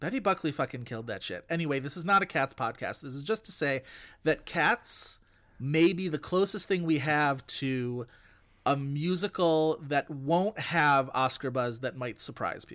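An unremarkable speaking voice, a man with an American accent talks at a moderate pace in a fairly high pitch, with ordinary pitch variation and big swings in loudness, in a very clean recording with a silent background. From US, Buffalo, New York. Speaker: podcast host, film critic. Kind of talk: casual chat.

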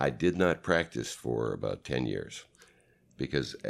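A man's voice with vocal fry, on a very clean recording with a silent background. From Canada, Vancouver. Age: 60s. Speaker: sports medicine chiropractor. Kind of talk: interview.

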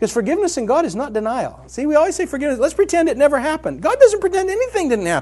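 Extremely high in pitch for a man, his voice races at a very fast pace with very wide pitch swings and hardly any pauses. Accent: American. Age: 50s. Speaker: author and speaker. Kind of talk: recorded talk to a live audience.

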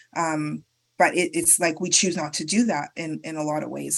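A woman with a Canadian accent, very deep and low in pitch, with vocal fry, ordinary pitch variation and a moderate pace. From Canada. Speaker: sex worker advocate and researcher. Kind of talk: interview. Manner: halting.

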